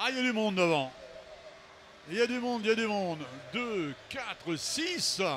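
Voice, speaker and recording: A high-pitched man speaks at a moderate pace with very wide pitch swings and long, frequent pauses over noticeable background noise. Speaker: race commentator. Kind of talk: live commentary.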